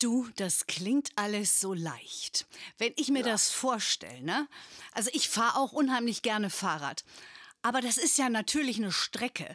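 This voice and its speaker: On a very clean recording with a silent background and a dry, close sound with no echo, a woman speaks in an ordinary speaking voice at a moderate pace, her fairly high pitch carried by lively intonation. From northern Germany (Bremen). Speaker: podcast host. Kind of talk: interview.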